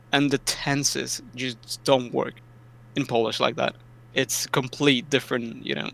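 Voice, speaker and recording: Man with a bright, sharp tone, medium pitch, fairly even intonation, and vocal fry. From Poland, moved to UK at ten. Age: 20s. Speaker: esports player. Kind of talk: interview.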